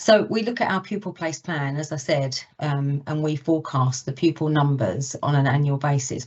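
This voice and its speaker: A woman speaks with a very deep, low pitch. Her pitch varies in an ordinary way. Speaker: council education officer. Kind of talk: formal committee presentation. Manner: loud.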